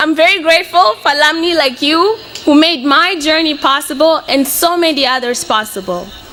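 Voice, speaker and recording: A woman's raised, projected voice, high-pitched and lively, at a moderate pace with very even loudness, amid noticeable background noise. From Mozambique. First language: Portuguese. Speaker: college graduate. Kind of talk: graduation speech.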